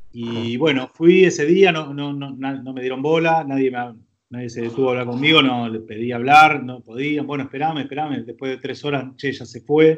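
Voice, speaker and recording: Using a Rioplatense accent, a man speaks at a moderate pace and medium pitch with hardly any pauses, fairly even intonation and big swings in loudness. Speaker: film director. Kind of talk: casual chat.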